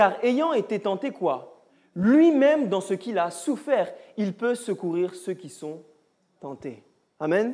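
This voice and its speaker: The delivery is very slow. Background silence and a very clean recording surround it. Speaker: Bible study teacher. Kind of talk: Bible study teaching with audience. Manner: animated.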